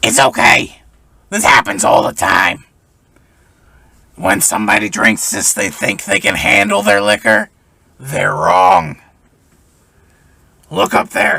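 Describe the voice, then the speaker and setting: A man's raspy, put-on character voice at a fairly low pitch, fairly slow pace and long, frequent pauses. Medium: actual play. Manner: warm, calls everyone honey or sweetie.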